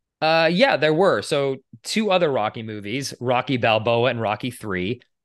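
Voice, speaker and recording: In an American accent, a man speaks at a moderate pace with ordinary pitch variation in a normal speaking voice. The background is quiet. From Boston, US. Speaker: podcast co-host. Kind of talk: casual chat.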